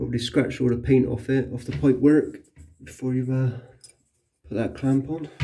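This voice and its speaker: Speaking at a moderate pace with long, frequent pauses, a man uses fairly even intonation and a medium pitch, his tone dark and mellow and somewhat breathy. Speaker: electrician. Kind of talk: casual talk to camera while working. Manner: monotone.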